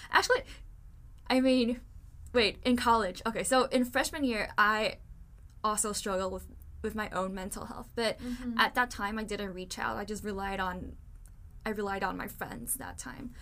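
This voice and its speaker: A woman with a Chinese accent speaks at fairly high pitch in a bright, sharp tone, with ordinary pitch variation. She keeps a moderate pace broken by long, frequent pauses. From Taiwan. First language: Mandarin Chinese. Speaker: podcast host. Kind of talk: casual chat.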